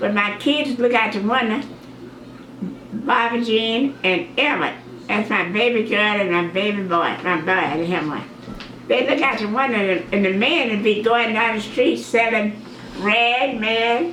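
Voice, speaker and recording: Through noticeable background noise and audible room echo, a woman speaks at a fairly high pitch. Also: ordinary pitch variation, moderate pace. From Mississippi, US South. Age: 80s+. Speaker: grandmother sharing memories. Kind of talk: oral history interview.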